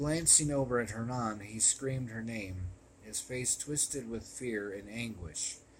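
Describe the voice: Someone does plain reading aloud, and the pitch varies in an ordinary way.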